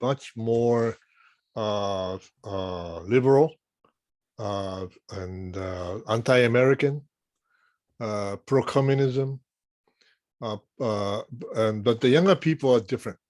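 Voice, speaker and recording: In a very clean recording with a silent background, a man with a Japanese accent speaks at a very slow pace, his medium pitch showing ordinary variation, with long, frequent pauses and big swings in loudness. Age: 60s. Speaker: journalist, panelist. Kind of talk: panel discussion.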